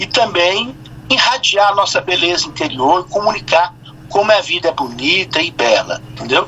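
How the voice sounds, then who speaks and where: A man with a high pitch and lively intonation speaks at a moderate pace, noticeable noise running behind him. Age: 60s. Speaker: poet. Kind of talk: interview.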